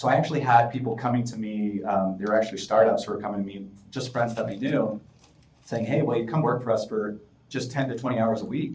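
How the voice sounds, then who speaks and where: Amid audible room echo, a man talks at a very fast pace with medium pitch and fairly even intonation. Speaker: fractional product manager, startup consultant. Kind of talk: interview.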